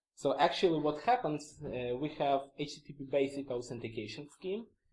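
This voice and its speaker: Lively intonation marks this man's fairly high-pitched voice. He speaks at a moderate pace. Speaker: conference speaker, security engineer. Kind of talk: conference talk. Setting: stage with audience. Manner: hesitant, many fillers.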